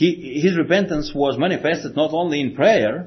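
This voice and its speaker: This man has a Slavic accent and a fairly high pitch, sounding somewhat breathy as he talks at a moderate pace with lively intonation. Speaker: preacher. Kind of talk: sermon. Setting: church.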